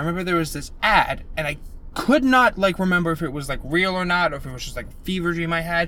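A man talks at a very fast pace in a high voice. His words come out mumbled. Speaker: podcast co-host. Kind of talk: casual chat. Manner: mumbling; sometimes loud.

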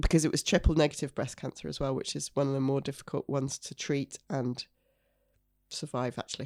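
A woman speaks at a moderate pace in a Yorkshire accent, her very deep, low voice monotone and flat, recorded very cleanly against a silent background with a dry, close sound and no echo. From Yorkshire, York. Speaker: cancer survivor and mother. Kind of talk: testimony.

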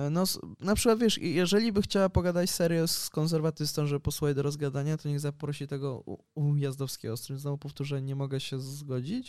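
In a very clean recording with a silent background, a man with an unremarkable speaking voice talks fairly quickly at a fairly high pitch, with ordinary pitch variation and hardly any pauses. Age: 20s. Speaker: journalist and sociologist. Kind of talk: casual interview.

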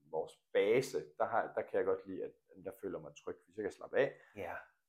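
A man is speaking. His pace is moderate. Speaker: coach and former badminton coach. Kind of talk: interview.

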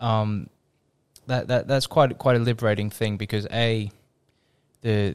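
In an Australian accent, a man speaks at a fairly slow pace and a fairly low pitch, with monotone, flat intonation. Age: 20s. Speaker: podcast co-host. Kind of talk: casual chat. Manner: halting, repeats words.

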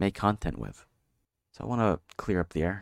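A man speaks at a fairly quick pace with vocal fry. The very clean recording has a silent background and a dry, close sound with no echo. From Philippines. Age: 20s. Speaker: podcaster. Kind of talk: casual monologue. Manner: halting.

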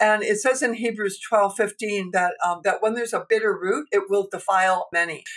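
A woman speaks in a normal speaking voice with a Canadian accent. Her pitch is medium and her intonation fairly even. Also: moderate pace, hardly any pauses. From Canada. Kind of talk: interview testimony and teaching.

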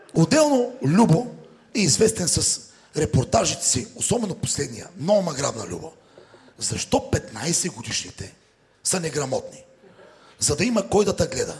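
A man with a high pitch talks at a moderate pace, his pitch swinging very widely. Long pauses come often, and background noise is noticeable. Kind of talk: stand-up comedy roast set. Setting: stage with live audience. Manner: sarcastic, teasing.

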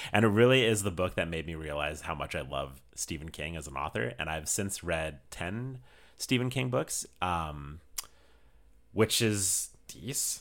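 Slow-paced and very deep, a man's voice carries vocal fry along with lively intonation. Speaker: podcast host, photographer. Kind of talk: casual chat. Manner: loud.

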